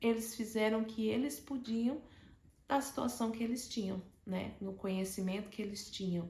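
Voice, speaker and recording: Her fairly high voice shows ordinary pitch variation as the woman talks at a middling tempo. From Brazil, Alagoas (Maceió). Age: 40s. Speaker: educator sharing personal story. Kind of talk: personal testimony monologue.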